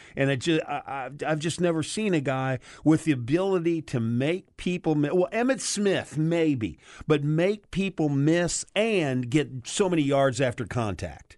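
Against a quiet background, a man talks in an ordinary speaking voice at a fairly slow pace, with fairly high pitch and lively intonation. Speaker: sports radio co-host. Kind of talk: casual sports talk radio. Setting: radio studio.

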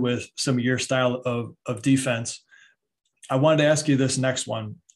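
With an American accent, a plain, everyday voice moves at a moderate pace with fairly even intonation. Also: man. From Michigan. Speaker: podcast host and basketball trainer. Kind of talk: podcast interview.

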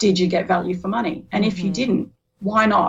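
Speaking in an Australian accent, a woman keeps a moderate pace and fairly even intonation. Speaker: business community co-founder. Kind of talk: interview.

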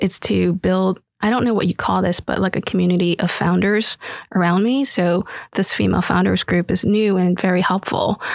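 A woman with an American accent has an ordinary speaking voice at a medium pitch, talking at a moderate pace with fairly even intonation and very even loudness. The sound is dry and close, with no echo. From Philadelphia inner city, refugee from Vietnam. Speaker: startup founder and author. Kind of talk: panel discussion.

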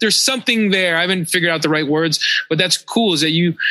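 The speaker has an American accent and ordinary pitch variation. Noticeable background noise runs under the voice. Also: man. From Pennsylvania (Philadelphia and Pittsburgh). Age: 40s. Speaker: radio DJ and tour DJ. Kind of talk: casual chat.

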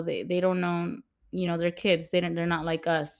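A woman with an American accent, fairly low in pitch and monotone, flat in intonation, on a very clean recording with a silent background. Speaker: podcast host. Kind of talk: casual chat.

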